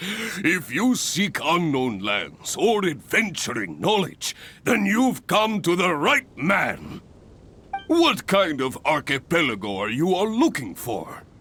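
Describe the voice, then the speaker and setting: Putting on a character voice, a man talks fairly slowly in a high pitch with very wide pitch swings. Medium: video game.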